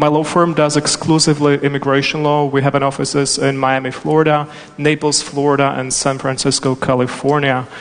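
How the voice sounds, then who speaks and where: Amid noticeable background noise, a man speaks at a fairly high pitch and a fairly quick pace. His intonation is monotone and flat. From Czechoslovakia. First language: Czech or Slovak. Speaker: immigration attorney and panel moderator. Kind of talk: panel moderation.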